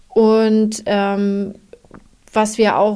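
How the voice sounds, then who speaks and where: A woman talks at a medium pitch. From northern Germany, Schleswig-Holstein. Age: 30s. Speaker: office service department head. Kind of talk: casual interview.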